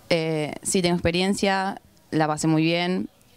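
A woman's fairly low-pitched voice comes through with a dry sound and no echo. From Rosario, Argentina; Argentina. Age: 20s. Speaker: women's football goalkeeper. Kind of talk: post-match interview. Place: open country. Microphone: handheld.

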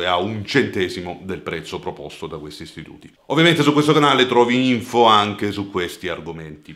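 The speaker keeps a moderate pace with lively intonation. The background is quiet. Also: man. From Italy. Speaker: personal finance youtuber. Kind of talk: scripted explainer video. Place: home room.

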